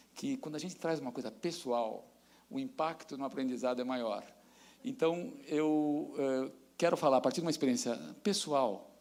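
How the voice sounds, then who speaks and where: This man's voice sits fairly high in pitch, and his delivery keeps a moderate pace. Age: 60s. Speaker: professor. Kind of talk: lecture.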